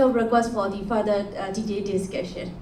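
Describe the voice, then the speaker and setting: A woman speaks at a medium pitch. Room echo is audible, and background noise is noticeable. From Myanmar. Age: young. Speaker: startup founder, audience member. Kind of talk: audience question. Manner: halting with many fillers.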